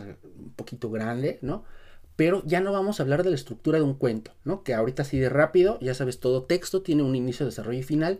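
A dark, mellow voice rushes along at a very fast pace with lively intonation. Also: man. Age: 30s. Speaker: writing teacher. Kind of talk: tutorial.

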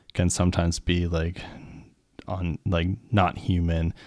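A man talks at a very slow pace in a very deep, low voice. The recording is very clean, with a silent background. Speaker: podcast co-host, mental health clinician. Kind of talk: casual chat. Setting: home studio. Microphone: new dynamic microphone.

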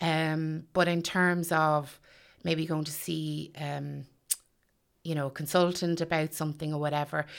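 A woman speaks at a fairly slow pace with a Meath Irish accent, her pitch very deep and low. Her intonation is flat and monotone, on a very clean recording with a silent background. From Ireland, County Meath. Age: 40s. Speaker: stay-at-home mother sharing eating disorder experience. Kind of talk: personal testimony interview. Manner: hesitant, many fillers.

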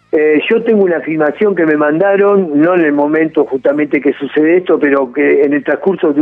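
With a Rioplatense accent, a man speaks with ordinary pitch variation over noticeable background noise. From Argentina. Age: 50s. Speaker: rock musician. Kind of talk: casual interview.

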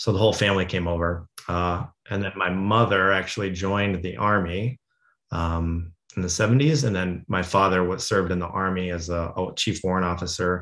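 In an American accent, a man speaks with a very deep, low pitch, fairly even intonation and a moderate pace against a quiet background. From US, Colorado (Denver suburbs). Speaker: military veteran, former JTAC. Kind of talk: casual interview.

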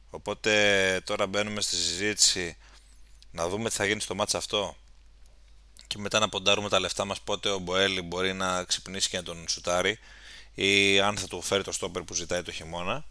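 A man with a fairly low pitch speaks at a moderate pace in a bright, sharp tone, his flat, monotone delivery broken by long, frequent pauses on a very clean recording with a silent background. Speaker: football podcast host. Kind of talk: casual chat.

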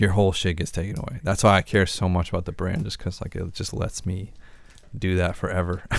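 Over a silent background in a very clean recording, a man talks at a fairly quick pace in a very deep, low voice with fairly even intonation. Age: 20s. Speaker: podcast host. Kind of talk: casual chat.

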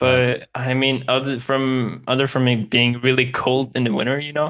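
With a Swedish accent, a man talks at medium pitch in a monotone, flat way. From northern Sweden. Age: 20s. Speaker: gamer. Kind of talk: casual chat.

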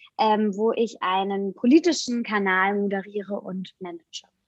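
A woman is speaking. Her pace is fairly slow. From Rhineland-Palatinate, Germany. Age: young. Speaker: journalist. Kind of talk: interview.

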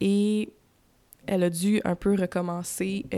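A woman speaks with a dark, mellow tone. Her pitch is fairly low. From Quebec (raised from age 10, born Ontario). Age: 20s. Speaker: podcaster. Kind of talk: personal monologue. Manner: hesitant, many fillers.

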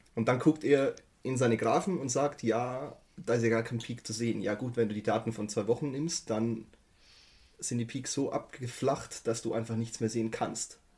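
A man speaks at a moderate pace in a medium-pitched, somewhat breathy voice with fairly even intonation. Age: 30s. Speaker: IT systems engineer. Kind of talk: casual chat.

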